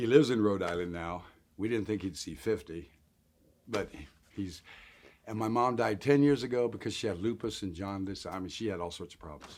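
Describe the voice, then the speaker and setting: A man talks at a fairly quick pace in a fairly low pitch, with ordinary pitch variation. His speech is broken by long, frequent pauses. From Colorado (Denver area). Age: 60s. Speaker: interviewee sharing life story of homelessness. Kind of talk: interview testimony.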